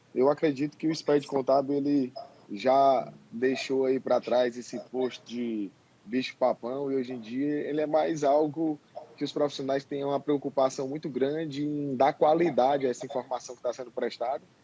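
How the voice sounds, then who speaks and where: This man speaks at a moderate pace in a fairly high pitch, his intonation fairly even and his tone dark and mellow. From Ceará, northeastern Brazil. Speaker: accountant and tax instructor. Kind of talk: live webinar interview. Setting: alone in his office, video call live stream.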